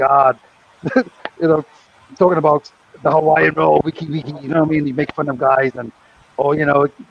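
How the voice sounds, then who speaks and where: A man speaks very fast with a fairly high pitch. Noticeable background noise runs underneath. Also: long, frequent pauses. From Britain. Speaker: former craps dealer, co-host. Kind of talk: casual chat. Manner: animated.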